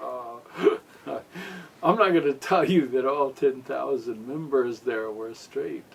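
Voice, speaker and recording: A man talks at a very slow pace amid noticeable background noise. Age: 60s. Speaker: musician. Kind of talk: casual interview.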